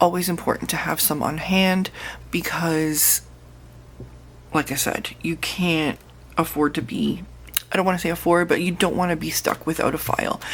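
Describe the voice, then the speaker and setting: A woman with fairly low pitch and ordinary pitch variation talks at a moderate pace in a normal speaking voice. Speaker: nail tech youtuber. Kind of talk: tutorial. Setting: home. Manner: casual.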